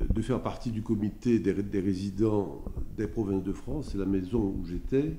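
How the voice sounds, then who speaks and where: A man with a fairly low pitch, vocal fry and a dark, mellow tone. His pitch moves in an ordinary way, and the room echo is audible. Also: moderate pace. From Haiti. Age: 70s. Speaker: lawyer, former student resident. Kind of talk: interview testimony, reminiscing. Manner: hesitant, many filler sounds.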